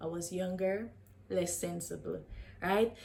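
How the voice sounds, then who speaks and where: Here a woman talks in a Jamaican accent. Her tone is animated and her pace is moderate. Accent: Jamaican, with patois. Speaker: YouTuber. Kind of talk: storytelling.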